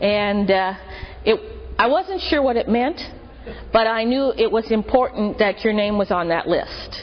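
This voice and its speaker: A woman's fairly high voice with an American accent and lively intonation, at a fairly slow pace with long, frequent pauses over noticeable background noise. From Marin County, California. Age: 50s. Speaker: church member. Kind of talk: testimony.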